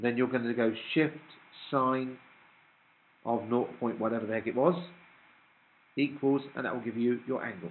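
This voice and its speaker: A man with a British accent, medium pitch and a moderate pace, broken by long, frequent pauses. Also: ordinary pitch variation. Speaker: maths teacher. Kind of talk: classroom lecture.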